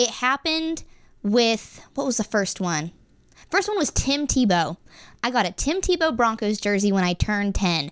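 A woman talks at a moderate pace in a fairly high, animated voice with very wide pitch swings. The recording is very clean, with a silent background. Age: 20s. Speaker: student podcast host. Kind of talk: casual chat.

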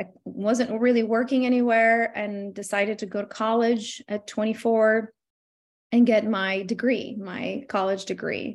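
In an Albanian accent, a woman speaks at a fairly slow pace with monotone, flat intonation. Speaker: legal funding entrepreneur. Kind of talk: interview.

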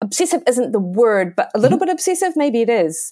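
A woman speaks in an unremarkable speaking voice with lively intonation. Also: dry, close sound with no echo. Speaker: podcast host. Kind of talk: podcast interview.

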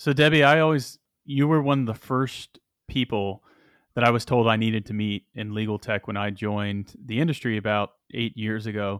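A man talks at a moderate pace in a plain, everyday voice, pitched at medium with ordinary variation. The recording is very clean, with a silent background. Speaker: podcast co-host, software executive. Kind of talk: podcast interview.

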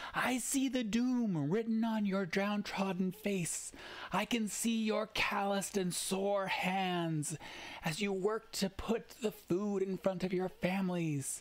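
Using a put-on character voice, a man speaks at a high pitch. His delivery is fairly slow, with fairly even intonation. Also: very even loudness. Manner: fervent, rousing.

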